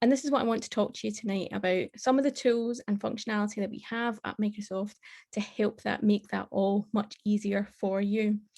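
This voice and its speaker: With a Scottish accent, a woman speaks at a fairly quick pace. Her voice is somewhat breathy. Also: medium pitch for a woman, fairly even intonation. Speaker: tech conference speaker. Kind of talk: tech presentation.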